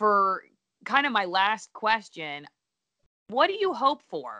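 Against a quiet background, a woman with an American accent speaks in a bright, sharp tone. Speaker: podcast host. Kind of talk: casual interview.

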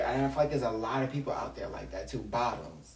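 Noticeable background noise is present in this clip. A man with an American accent speaks at a moderate pace. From Long Island, New York. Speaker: guest. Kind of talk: casual interview chat.

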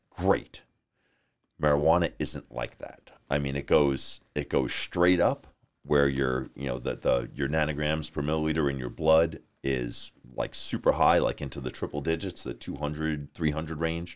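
With a slight New York accent, a man speaks at a very deep, low pitch. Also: moderate pace. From New York, Long Island. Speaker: sheriff's deputy. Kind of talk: casual interview.

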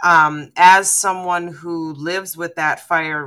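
A woman speaks in a normal speaking voice. Her pitch is fairly low, with ordinary pitch variation. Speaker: fan podcaster guest. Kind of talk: casual roundtable discussion. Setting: video call.

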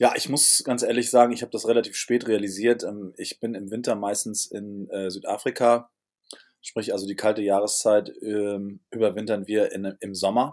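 At a moderate pace, a man talks in a fairly low pitch with monotone, flat intonation and big swings in loudness. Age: 60s. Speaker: hotelier and restaurateur. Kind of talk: interview. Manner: hesitant with filler sounds.

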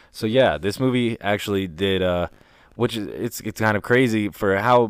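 In a very clean recording with a silent background, a man speaks at a moderate pace. His is an unremarkable speaking voice, fairly low in pitch with ordinary pitch variation. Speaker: podcast host. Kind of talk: casual chat.

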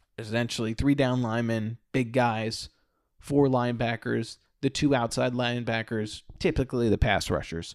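An unremarkable speaking voice at a moderate pace, fairly even intonation, and a very clean recording over a silent background. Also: man, medium pitch for a man. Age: 30s. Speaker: podcast host. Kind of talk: solo monologue. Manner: casual.

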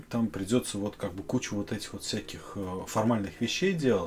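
This is a man with lively intonation. He talks at a moderate pace. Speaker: podcast host. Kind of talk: casual interview.

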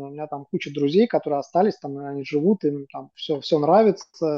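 A woman speaks at a moderate pace in a dark, mellow tone. The sound is dry and close with no echo, over a quiet background. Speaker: PR agency CEO. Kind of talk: casual chat. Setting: video call. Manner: hesitant, many filler words.

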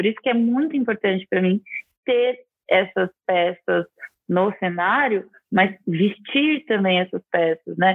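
A woman with a plain, everyday voice, medium pitch, fairly slow pace, lively intonation and very even loudness. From interior of São Paulo state, Brazil (Araraquara). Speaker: architect and TV decor presenter. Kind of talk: interview conversation.

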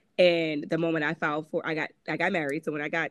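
A woman with a Connecticut accent talks at a fairly quick pace in a fairly low pitch, her intonation flat and monotone. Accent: northeastern US, Connecticut. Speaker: author and abuse survivor. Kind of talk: personal storytelling interview.

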